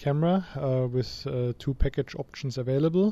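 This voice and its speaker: The background is quiet. A man speaks at medium pitch in a dark, mellow tone. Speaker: camera company representative. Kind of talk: interview.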